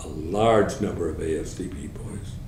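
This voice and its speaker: A man is speaking with ordinary pitch variation. Audible room echo surrounds the voice. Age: 80s+. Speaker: war veteran. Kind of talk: oral history interview. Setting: at home. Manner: halting.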